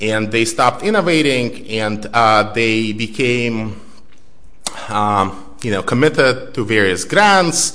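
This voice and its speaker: Over noticeable background noise and audible room echo, a man talks at a very slow pace. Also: medium pitch for a man, ordinary pitch variation. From Belarus. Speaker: author and researcher. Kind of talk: lecture. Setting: stage with audience.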